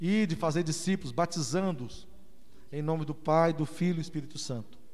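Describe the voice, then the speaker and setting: With ordinary pitch variation, a man's voice sits at a fairly high pitch. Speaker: pastor. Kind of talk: sermon. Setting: church.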